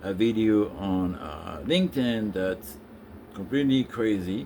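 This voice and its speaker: A man with a French accent speaks fairly slowly, his fairly low voice showing ordinary pitch variation. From France. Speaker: business consultant. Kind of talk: impromptu live stream monologue. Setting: live stream on social media. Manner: hesitant, many filler sounds.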